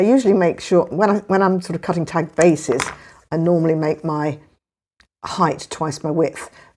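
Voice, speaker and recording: With an English accent, a woman speaks at a very deep, low pitch in a very clean recording with a silent background. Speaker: papercraft youtuber. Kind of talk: tutorial. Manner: casual, hesitant with fillers.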